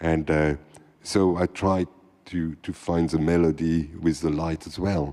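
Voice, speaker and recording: Speaking at a fairly slow pace in a French accent, the voice has a dark, mellow tone and fairly even intonation on a very clean recording with a silent background. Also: man. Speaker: cinematographer. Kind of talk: panel discussion. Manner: halting.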